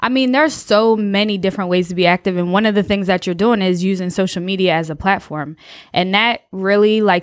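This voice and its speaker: A voice with an American accent and fairly even intonation comes through in a very clean recording with a silent background. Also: woman. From New Jersey. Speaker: sociology professor. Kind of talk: casual chat.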